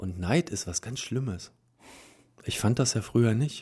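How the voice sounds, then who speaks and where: A man's somewhat breathy, dark, mellow voice at a fairly quick pace, with lively intonation, on a very clean recording with a silent background. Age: 40s. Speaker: polyamory meetup organizer. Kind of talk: interview. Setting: studio.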